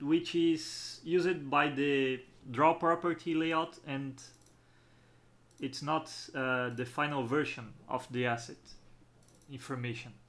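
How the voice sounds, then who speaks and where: At a fairly slow pace, a man with a strong non-native accent talks with ordinary pitch variation. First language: not English. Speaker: game developer. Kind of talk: tutorial. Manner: halting.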